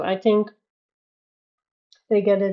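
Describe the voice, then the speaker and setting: Moderate-paced speech with a Dutch accent. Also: woman. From Netherlands. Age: 30s. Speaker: livestreamer, colorist. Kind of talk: casual chat. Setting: live stream. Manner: halting.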